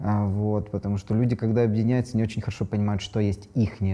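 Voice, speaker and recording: A man speaks in a dark, mellow, somewhat breathy voice with a fairly low pitch and fairly even intonation. The recording is very clean, with a silent background. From Ukraine. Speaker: decolonization activist. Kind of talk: casual panel discussion.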